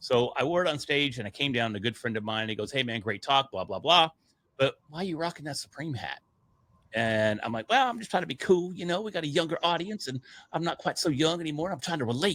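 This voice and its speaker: A man talks at a very fast pace in a bright, sharp tone. His fairly high pitch makes very wide swings. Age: middle-aged. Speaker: podcast media entrepreneur. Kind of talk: casual interview storytelling. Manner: loud.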